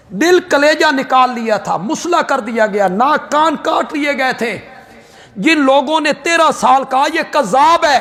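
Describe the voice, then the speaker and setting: Over noticeable background noise, a man with an extremely high pitch speaks in a passionate tone, his voice raised and projected, with ordinary pitch variation. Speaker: Islamic scholar and preacher. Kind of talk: Urdu religious sermon on Quranic commentary and Islamic history. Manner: passionate, emotional, oratorical.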